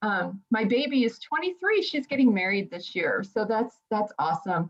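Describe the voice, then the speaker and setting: A woman speaks with a plain, everyday voice in an American accent. Her pitch is fairly high and her intonation lively. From New Jersey. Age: 50s. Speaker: podcast co-host, mental health background. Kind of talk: casual self-introduction.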